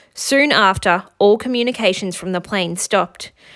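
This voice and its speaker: Talking fairly quickly, a woman uses an ordinary amount of pitch variation. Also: very clean recording, silent background. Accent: Australian. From Australia. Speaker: teacher. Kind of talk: children's picture book read-aloud.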